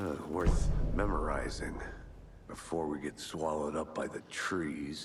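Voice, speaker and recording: Putting on a character voice, a man speaks at a moderate pace with a very deep, low pitch and fairly even intonation over clear background noise. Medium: video game. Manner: dry, gruff.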